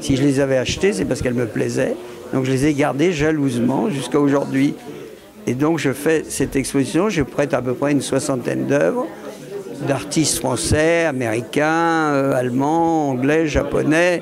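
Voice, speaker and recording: Over music in the background and with audible room echo, a man with a fairly high pitch speaks at a fairly slow pace and very even loudness. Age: 70s. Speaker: art collector and gallery owner. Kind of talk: interview. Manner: hesitant, many fillers and repetitions.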